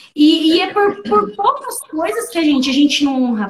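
A woman at a moderate pace. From interior of São Paulo state, Brazil. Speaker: coaching client and coach. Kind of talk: testimony. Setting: online live stream.

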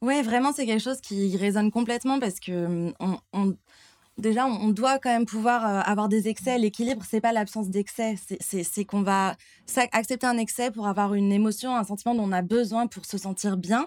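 A woman's fairly high voice, with fairly even intonation and a moderate pace. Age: 20s. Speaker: athlete living with diabetes. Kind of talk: casual interview. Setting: near restaurant kitchens. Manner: hesitant, many fillers.

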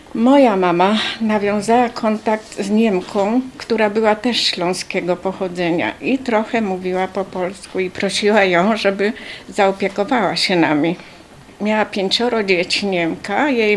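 A woman speaks fairly slowly at a medium pitch with ordinary variation. Noticeable background noise runs underneath. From Poland. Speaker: wartime deportation survivor. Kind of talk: testimony.

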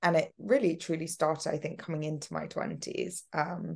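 Here is a plain, everyday voice from a woman with a fairly low pitch. She talks at a moderate pace against a quiet background. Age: 20s. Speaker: podcast host. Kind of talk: casual chat. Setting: video call.

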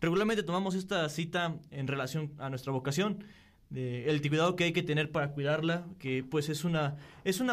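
A man's fairly high voice at a fairly quick pace, with fairly even intonation and audible room echo. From Querétaro, Mexico. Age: 20s. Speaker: seminarian. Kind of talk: casual chat.

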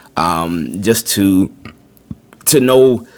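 Noticeable background noise runs under the recording. A man speaks at a fairly low pitch with ordinary pitch variation. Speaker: full-time podcaster and content creator. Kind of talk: casual podcast talk. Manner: halting, many fillers and repetitions.

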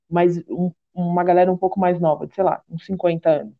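A woman with a normal speaking voice and fairly low pitch talks at a moderate pace. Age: 30s. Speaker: podcast host and confectioner. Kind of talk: casual chat.

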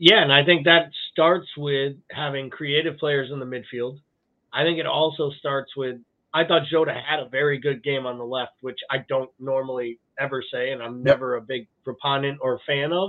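A man's fairly high voice at a moderate pace. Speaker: podcast co-host. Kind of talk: casual chat about football. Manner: animated, sarcastic.

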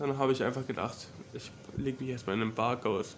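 A man talks at a moderate pace with medium pitch. His intonation stays fairly even. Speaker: university student. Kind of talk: casual chat.

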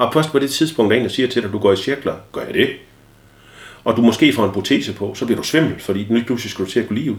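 A man's very fast delivery at medium pitch, with ordinary pitch variation. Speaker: ADHD expert guest and father. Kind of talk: casual interview chat. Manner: loud.

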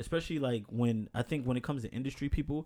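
In a very clean recording with a silent background, a man with an American accent speaks very fast in a dark, mellow tone at medium pitch with ordinary pitch variation. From New York. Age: 30s. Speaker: podcast host. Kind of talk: casual chat.

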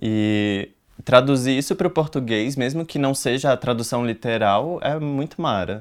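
An ordinary speaking voice from a man at medium pitch, with ordinary pitch variation and a moderate pace, on a very clean recording with a silent background. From Brazil, Rio de Janeiro and Brasília. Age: 20s. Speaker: youth activist at an NGO. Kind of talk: casual chat.

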